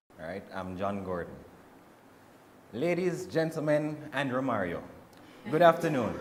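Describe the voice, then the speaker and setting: Big swings in loudness and very wide pitch swings from a man, with long, frequent pauses, audible room echo, and noticeable background noise. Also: fairly high pitch for a man. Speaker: university student. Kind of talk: class presentation. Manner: fast; runs out of breath.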